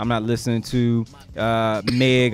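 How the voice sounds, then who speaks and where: Faint music plays in the background as a man speaks at a moderate pace. The sound is dry with no echo. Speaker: podcast co-host. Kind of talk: casual podcast discussion. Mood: relaxed, opinionated. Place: studio. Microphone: studio mic.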